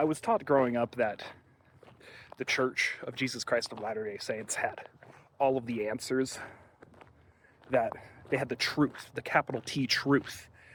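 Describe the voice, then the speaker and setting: A man of medium pitch speaks at a moderate pace with fairly even intonation. He leaves long, frequent pauses. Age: 20s. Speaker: vlogger. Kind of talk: casual vlog monologue.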